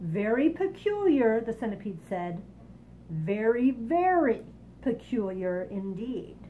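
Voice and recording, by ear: Reading aloud, this voice sounds natural.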